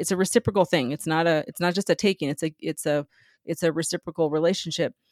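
Recorded very cleanly against a silent background with a dry, close sound and no echo, a woman with an American accent speaks in an unremarkable speaking voice at a fairly low pitch. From US Southwest, San Diego near Mexican border. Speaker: business founder and mentor. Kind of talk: interview.

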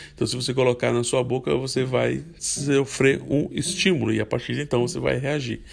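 A man's medium-pitched voice with vocal fry, ordinary pitch variation, a moderate pace and hardly any pauses. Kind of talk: devotional talk. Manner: halting.

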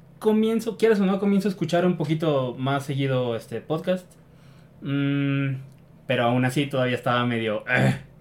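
A man talks at a moderate pace with a fairly high pitch. His pitch varies in an ordinary way against noticeable background noise. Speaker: podcast host. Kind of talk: casual chat.

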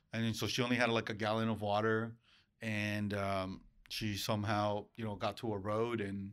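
In a very clean recording with a silent background, a man speaks at a moderate pace with a fairly low pitch. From Mexico, Acapulco area, moved to US as child. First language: Spanish. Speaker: real estate branch manager. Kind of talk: casual interview. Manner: energetic.

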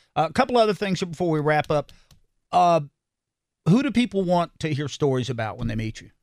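This man talks at a fairly quick pace with long, frequent pauses, in a fairly high voice with a North Carolina accent. His pitch swings very widely and his loudness varies a lot, with a dry, close sound and no echo. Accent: Southern US (North Carolina). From North Carolina, Salisbury. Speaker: radio host. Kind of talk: interview.

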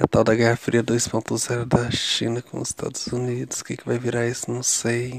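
This man's medium-pitched voice has a monotone, flat intonation. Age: 30s. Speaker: video diarist. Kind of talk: personal video diary. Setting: lying on mattress in bedroom. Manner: chatty, casual.

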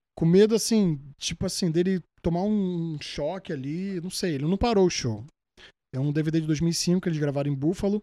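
In a very clean recording with a silent background, a man with a high pitch and a dark, mellow tone talks at a moderate pace with ordinary pitch variation. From Brazil, Rio de Janeiro (Zona Norte). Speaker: singer. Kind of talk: casual interview chat.

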